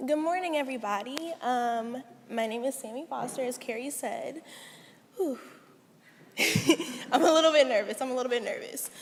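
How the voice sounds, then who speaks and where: Over noticeable background noise, a woman speaks at a moderate pace in a high pitch with ordinary pitch variation, leaving long, frequent pauses. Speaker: student speaker. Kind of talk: personal speech.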